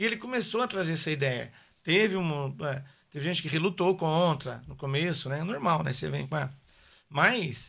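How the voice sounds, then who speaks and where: Fairly high male voice with vocal fry and a bright, sharp tone, moderate pace, ordinary pitch variation and a quiet background. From São Paulo, Brazil (born in Paraná); São Paulo, Brazil. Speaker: musician; podcast guest. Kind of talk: casual interview chat. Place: studio. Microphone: studio mic.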